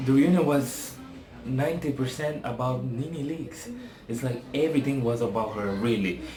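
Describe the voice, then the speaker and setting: A man with a non-native accent speaks at medium pitch and a moderate pace. Noticeable background noise and audible room echo surround him. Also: ordinary pitch variation. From Africa. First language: not English. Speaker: TV reality show reviewer. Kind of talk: casual vlog commentary. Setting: apartment, home video. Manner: casual, hesitant with fillers.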